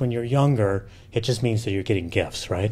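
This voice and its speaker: A man is speaking. His voice is somewhat breathy. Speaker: professor and demographer. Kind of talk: lecture. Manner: casual, halting with fillers.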